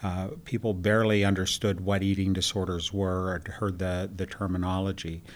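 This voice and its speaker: With an American accent, a man speaks in a very deep, low voice, monotone and flat, with hardly any pauses. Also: moderate pace. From Western Pennsylvania. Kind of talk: interview. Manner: halting, many fillers.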